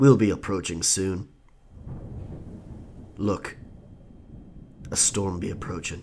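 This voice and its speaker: A man puts on a character voice with a dramatic tone and very deep, low pitch, speaking at a fairly slow pace with long, frequent pauses. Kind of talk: pirate role-play storytelling. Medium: audio drama. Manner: dramatic, gravelly storyteller.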